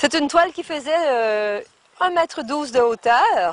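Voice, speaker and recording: A woman's high-pitched voice at a very slow pace, with very wide pitch swings. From Quebec. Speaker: storyteller. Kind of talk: guided tour talk to a group.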